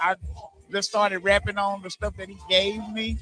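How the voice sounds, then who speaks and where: A man's raised, projected voice, high-pitched, bright and sharp in tone, at a moderate pace. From Arkansas. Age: 40s. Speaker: rapper. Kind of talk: interview. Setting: live stream event. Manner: halting, many repetitions.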